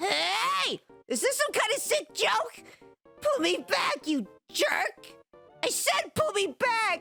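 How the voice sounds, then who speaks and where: A put-on character voice at an extremely high pitch, very slow, with long, frequent pauses and faint music in the background. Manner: sarcastic, bitter.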